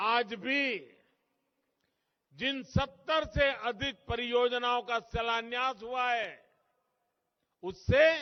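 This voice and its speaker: A man speaks with an extremely high pitch and fairly even intonation. Long pauses break up his speech often. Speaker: politician. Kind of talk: political rally speech.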